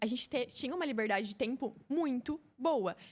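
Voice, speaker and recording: Here a woman talks with a high pitch. Her pace is moderate and her pitch varies in an ordinary way. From Brazil, Paraná (Campo Mourão). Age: 20s. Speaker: influencer and fashion entrepreneur. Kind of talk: podcast interview.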